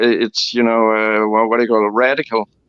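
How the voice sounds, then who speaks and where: His intonation monotone and flat, a man talks at a medium pitch. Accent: Danish. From Denmark. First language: Danish. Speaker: antinatalist interviewee. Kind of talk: interview. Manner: halting.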